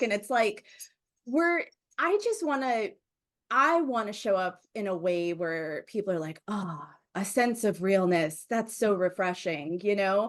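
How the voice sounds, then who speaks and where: A woman at medium pitch speaks at a fairly slow pace, animated in tone with lively intonation. The background is quiet. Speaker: podcast host. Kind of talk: casual interview chat. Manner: loud; bold, animated.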